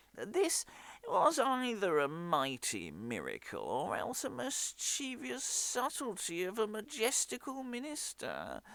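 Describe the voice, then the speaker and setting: The speaker uses a put-on character voice and a fairly slow pace. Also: man, high pitch for a man. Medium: stage play.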